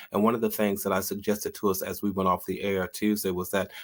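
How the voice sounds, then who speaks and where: In a very clean recording with a silent background, a man with a normal speaking voice talks fairly quickly at a fairly low pitch. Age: 50s. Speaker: livestream host and author. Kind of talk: casual livestream talk; reading aloud. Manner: warm and conversational.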